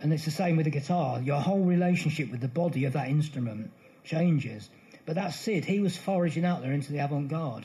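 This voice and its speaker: A man's somewhat breathy, fairly high voice with a dark, mellow tone at a very fast pace. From England, Bedfordshire. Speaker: music author. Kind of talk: live interview before an audience.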